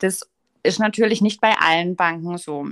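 Her voice is an ordinary speaking voice. The pace is moderate, and the pitch varies in an ordinary way. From Baden, Offenburg area. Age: 30s. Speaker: marketing agency co-founder. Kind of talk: podcast interview.

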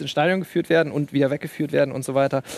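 A man speaks with monotone, flat intonation. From Bremen, northern Germany. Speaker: stadium announcer and writer. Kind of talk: live TV talk show discussion. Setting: studio at a live event.

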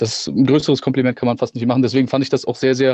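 The speaker is male. He talks at a medium pitch. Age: 30s. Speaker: actor and musician. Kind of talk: casual interview.

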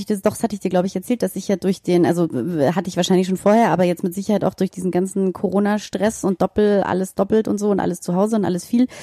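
Dry and close with no echo, a woman's medium-pitched voice has a dark, mellow tone and moves at a very fast pace. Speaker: podcast co-host. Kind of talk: casual chat.

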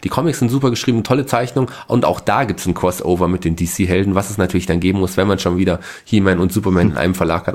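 A man talks at a very fast pace with lively intonation. His pitch is very deep and low. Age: 40s. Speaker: podcast co-host. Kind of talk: casual chat.

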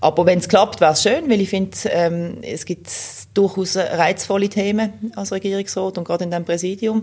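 A woman talks at a moderate pace with ordinary pitch variation. Hers is an ordinary speaking voice. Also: medium pitch for a woman. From Switzerland, Basel (Kleinbasel). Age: 40s. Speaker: police chief and political candidate. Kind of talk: casual interview.

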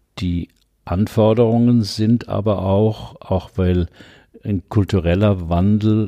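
Against a quiet background, a man speaks in a dark, mellow tone. His intonation stays fairly even. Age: 70s. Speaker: psychologist and leadership coach. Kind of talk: interview conversation. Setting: his practice.

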